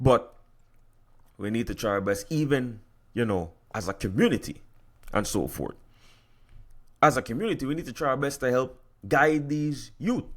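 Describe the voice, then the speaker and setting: With an American accent, a man speaks at a medium pitch in an animated tone at a moderate pace, taking long, frequent pauses, on a very clean recording with a silent background. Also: lively intonation. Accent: Virgin Islands accent, slips out. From US Virgin Islands. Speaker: podcast host. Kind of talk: solo podcast commentary. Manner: animated, repetitive stammering.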